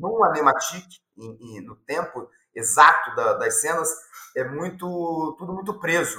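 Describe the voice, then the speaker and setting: A man's voice sits fairly high in pitch, with a bright, sharp tone. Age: 50s. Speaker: animation film director. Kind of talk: interview. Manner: halting, many repetitions.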